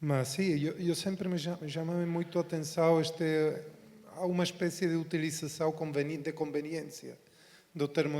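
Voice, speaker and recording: Speaking with a non-native accent, a man with a dark, mellow tone and fairly high pitch keeps a moderate pace. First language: Spanish (speaking Portuguese). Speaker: university professor. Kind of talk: panel discussion.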